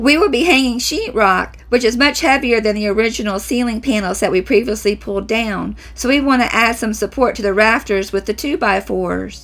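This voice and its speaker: With music in the background, a woman talks at a moderate pace with ordinary pitch variation and hardly any pauses. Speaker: home renovation vlogger. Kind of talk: voice-over narration.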